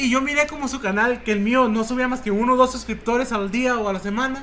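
With a Mexican accent and an extremely high pitch, a man talks at a fairly quick pace in fairly even intonation over noticeable background noise. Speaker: youtuber and podcast co-host. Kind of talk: casual chat. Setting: home, sitting on a bed at a computer.

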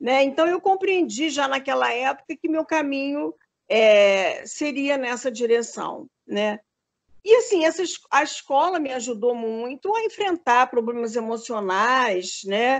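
A woman's high voice at a very slow pace, with very wide pitch swings. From Rio de Janeiro, Brazil. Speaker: candomblé priestess and retired dance professor. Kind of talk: interview conversation. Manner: hesitant, many fillers.

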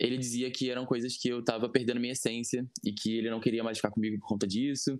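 A man's medium-pitched voice at a very fast pace. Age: 20s. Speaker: podcast guest sharing personal story. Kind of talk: interview testimony.

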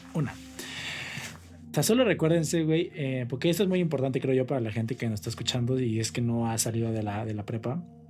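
A man with a Mexican accent speaks at a medium pitch with lively intonation. He hardly pauses, and music plays in the background. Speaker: podcast co-host. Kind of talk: casual chat.

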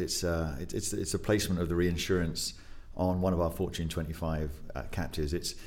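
A man with an English accent and a very deep, low pitch. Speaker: podcast guest co-host.

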